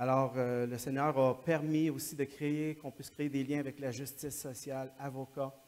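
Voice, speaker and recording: A man's fairly high-pitched voice, monotone and flat, at a moderate pace with hardly any pauses. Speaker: missionary. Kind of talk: church talk.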